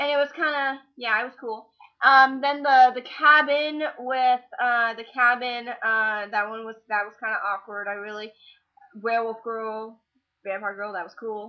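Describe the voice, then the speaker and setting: This woman's voice sits at a fairly high pitch with ordinary pitch variation. Her pace is fairly slow, and her loudness swings widely. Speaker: vlogger. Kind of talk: casual chat. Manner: halting.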